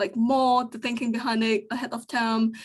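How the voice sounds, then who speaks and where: Against a quiet background, a woman speaks with a fairly high pitch. Her pace is moderate and her intonation fairly even. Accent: non-native. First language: not English. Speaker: UX design engineer. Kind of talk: panel discussion. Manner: hesitant, many fillers.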